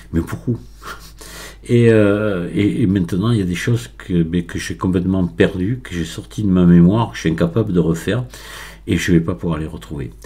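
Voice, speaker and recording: A man's very deep, low voice, somewhat breathy and dark, mellow in tone, with very wide pitch swings at a moderate pace. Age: 60s. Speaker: Blender tutorial maker. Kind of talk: tutorial. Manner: halting, many hesitations.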